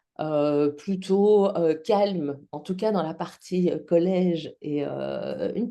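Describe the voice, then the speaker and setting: With a Belgian accent, this woman speaks at a very slow pace in a fairly low pitch, her tone dark and mellow, with hardly any pauses. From Belgium. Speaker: public speaking trainer and actress. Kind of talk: podcast interview.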